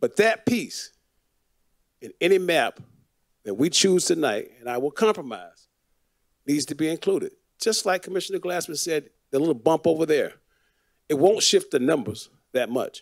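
Someone with an American accent speaks at a moderate pace with lively intonation and long, frequent pauses against a quiet background. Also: man, high pitch for a man. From Florida, Fort Lauderdale; Florida. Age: 60s. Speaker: city commissioner. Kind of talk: public meeting remarks. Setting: city commission meeting. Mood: impassioned, persuasive. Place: hall. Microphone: podium.

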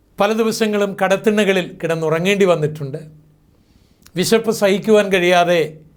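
Amid audible room echo, a man with a high-pitched voice speaks with fairly even intonation. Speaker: preacher. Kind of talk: sermon.

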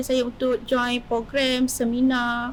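A woman's high-pitched voice. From Malaysia, Kuala Selangor area (Selangor). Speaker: polytechnic student and student entrepreneur. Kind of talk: casual interview. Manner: halting, many fillers.

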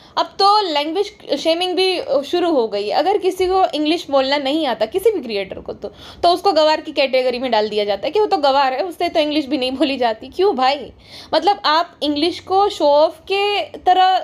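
A woman talks at an extremely high pitch, her voice swinging very widely up and down in an animated tone. Noticeable background noise runs underneath. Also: moderate pace. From India. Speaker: YouTuber. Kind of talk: monologue commentary.

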